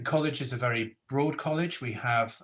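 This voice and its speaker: A man talks with a Welsh accent and fairly even intonation. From South Wales. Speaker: professor and panel moderator. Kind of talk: webinar panel moderation. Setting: video call webinar.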